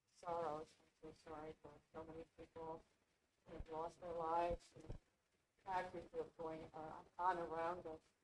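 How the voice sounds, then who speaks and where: The speaker keeps a moderate pace with a monotone, flat intonation. Long pauses come often, and the loudness swings widely. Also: woman, fairly low pitch for a woman. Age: 90s. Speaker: congregant. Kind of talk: sharing joys and concerns.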